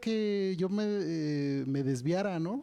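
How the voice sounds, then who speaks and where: This man's dark, mellow tone sits at a fairly high pitch, and his intonation is lively. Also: very clean recording, silent background. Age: 40s. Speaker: conference speaker. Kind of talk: lecture. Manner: halting, many fillers and repetitions.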